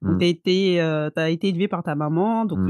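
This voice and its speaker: Using an ordinary speaking voice, a woman talks at a fairly quick pace with fairly low pitch and ordinary pitch variation. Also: dry, close sound with no echo. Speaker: podcast host. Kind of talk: podcast interview, casual. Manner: upbeat.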